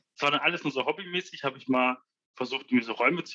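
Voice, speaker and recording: Speaking at a very fast pace, a man uses a medium pitch with ordinary pitch variation and a bright, sharp tone. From Ruhr area, Germany (Essen). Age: 20s. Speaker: freelance 3D visualizer. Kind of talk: casual interview.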